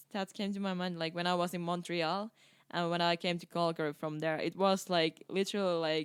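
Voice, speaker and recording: A woman with a Finnish accent talks at a fairly quick pace in a fairly low pitch, her intonation monotone and flat. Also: very clean recording, silent background. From eastern Finland. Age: 20s. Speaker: circus performer, freestyle footballer. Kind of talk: casual interview chat. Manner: hesitant, many fillers.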